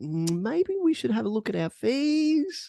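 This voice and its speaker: The voice is a put-on character voice. It sits fairly high and goes fairly slowly. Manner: meek, tentative.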